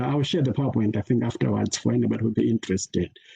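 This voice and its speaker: The man's voice has a dark, mellow tone and comes across somewhat breathy. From Malawi. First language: Chichewa. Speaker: peace education scholar. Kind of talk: conference talk. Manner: halting, many fillers.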